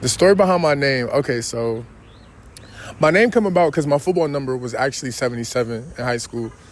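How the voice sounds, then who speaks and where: In a New York accent, a man speaks at a very fast pace. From New York City (Queens). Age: 20s. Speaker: rapper. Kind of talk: interview. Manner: casual, with many fillers.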